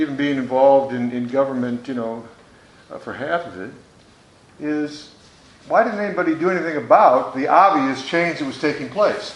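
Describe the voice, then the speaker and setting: A man with an American accent talks at a moderate pace in a fairly high pitch, his loudness swinging widely. Noticeable background noise and audible room echo surround him. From US Midwest, Detroit, Michigan. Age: 60s. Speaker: former member of Congress. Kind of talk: panel talk to students. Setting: school conference hall with audience. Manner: conversational with frequent fillers.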